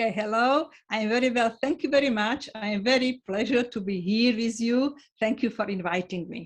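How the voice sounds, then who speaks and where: A woman with a Slovak accent, fairly high pitch and ordinary pitch variation. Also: moderate pace. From Slovakia. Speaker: sociologist. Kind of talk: interview. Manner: halting.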